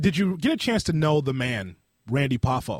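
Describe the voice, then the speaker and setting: A somewhat breathy voice is heard in a dry, close sound with no echo. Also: man. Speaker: podcast host. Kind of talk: podcast interview questions.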